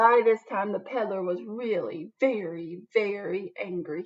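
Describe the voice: A woman at a fairly slow pace, ordinary pitch variation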